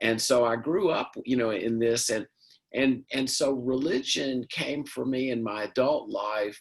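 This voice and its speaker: Speaking with a Southern US accent, a man talks fairly slowly in a medium pitch with ordinary pitch variation. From US South, Mississippi. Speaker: panelist, addiction recovery. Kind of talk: panel discussion. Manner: halting.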